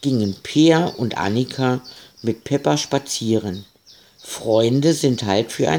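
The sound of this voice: An unforced reading voice is heard. The reading carries on in that manner.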